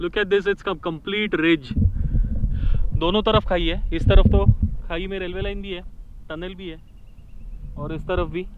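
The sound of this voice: Over faint background noise, a man with a high pitch speaks slowly with fairly even intonation.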